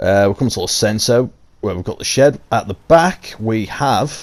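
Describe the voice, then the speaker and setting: A man with a Yorkshire accent speaks with lively intonation. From Yorkshire, England. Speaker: gaming YouTuber. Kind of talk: casual game tour commentary.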